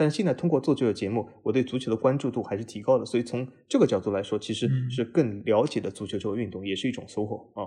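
A somewhat breathy man's voice, dark and mellow in tone, medium-pitched with ordinary pitch variation, at a very fast pace. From Shanghai. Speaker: football podcast host. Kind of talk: casual interview.

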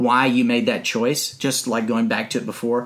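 A man speaks with an ordinary speaking voice. His delivery moves at a moderate pace, and his intonation is lively. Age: 40s. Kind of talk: casual chat.

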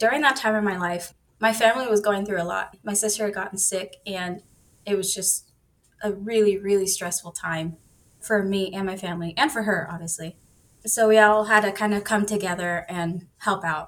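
A woman's ordinary speaking voice with an American accent, medium in pitch, at a moderate pace and with fairly even intonation. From Texas. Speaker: online coding student. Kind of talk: casual interview.

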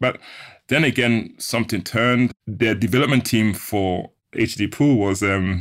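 A man with a German accent talks at a moderate pace and a fairly low pitch, with ordinary pitch variation. The recording is very clean, with a silent background. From Switzerland, Ghanaian family. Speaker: sound engineer and tech entrepreneur. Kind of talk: interview.

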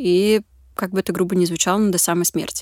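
On a very clean recording with a silent background, a woman with an ordinary speaking voice talks at a fairly quick pace, the sound dry and close with no echo. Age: 20s. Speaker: social psychologist at a charity. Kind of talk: casual interview. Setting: studio.

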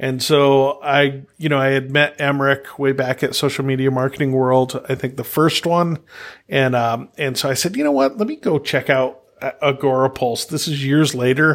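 A man with a fairly high pitch talks at a moderate pace in an ordinary speaking voice with fairly even intonation, on a very clean recording with a silent background. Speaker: podcast host. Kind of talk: casual interview chat.

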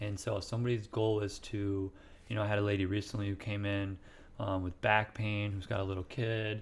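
This man talks at a fairly quick pace with an American accent and a fairly low pitch. His intonation is monotone and flat, on a very clean recording with a silent background. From US Midwest, central Illinois. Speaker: chiropractor. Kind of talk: interview. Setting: at guest's home.

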